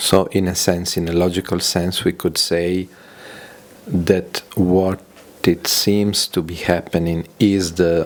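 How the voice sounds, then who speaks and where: Very slow speech in a non-native accent over noticeable background noise. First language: not English. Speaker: audience participant. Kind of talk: question and answer. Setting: gathering in London. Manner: halting.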